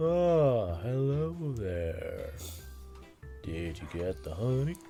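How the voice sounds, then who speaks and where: A man's put-on character voice at medium pitch with very wide pitch swings, at a very slow pace over clear music in the background. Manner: friendly, greeting.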